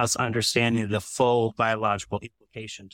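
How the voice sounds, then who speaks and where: A man's ordinary speaking voice at medium pitch and a fairly quick pace, dry and close with no echo, on a very clean recording with a silent background. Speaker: analytical chemist and testing lab founder. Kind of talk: panel discussion. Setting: stage with audience.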